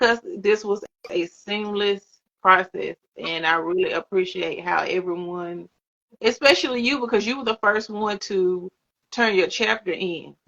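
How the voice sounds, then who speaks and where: A woman speaks at a fairly slow pace with a Southern US accent. Her pitch sits in the medium range, with ordinary pitch variation. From US South. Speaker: author and interview host. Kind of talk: casual interview chat. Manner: relaxed, words run together.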